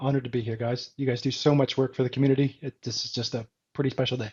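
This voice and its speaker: Very fast and monotone, a man speaks with an American accent at a medium pitch. His voice is somewhat breathy and flat in intonation. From Canada. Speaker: smart home enthusiast. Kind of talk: casual chat.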